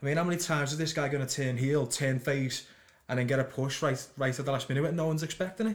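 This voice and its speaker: Very fast and in a Liverpool accent, a man speaks with a fairly high pitch, ordinary pitch variation and very even loudness. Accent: Liverpool (Scouse) English. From Liverpool, England. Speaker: podcast co-host. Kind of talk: casual chat. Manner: stuttering.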